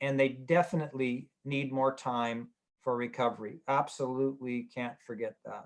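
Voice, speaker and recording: Here is an unremarkable speaking voice: a man with a Canadian accent at medium pitch. He keeps a moderate pace and fairly even intonation. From Canada, Edmonton, Alberta. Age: 60s. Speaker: sports medicine physician. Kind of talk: webinar lecture. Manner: casual, joking.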